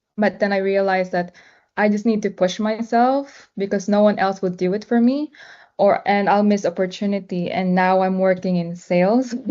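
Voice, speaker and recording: Speaking at a moderate pace with a non-native accent, a woman keeps a medium pitch and fairly even intonation. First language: not English. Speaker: session moderator. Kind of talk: mentoring session discussion.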